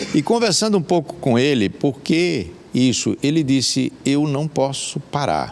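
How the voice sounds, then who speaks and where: A man at a fairly slow pace, lively intonation and very even loudness, over noticeable background noise. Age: 60s. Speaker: hiker and life coach. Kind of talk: interview. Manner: halting.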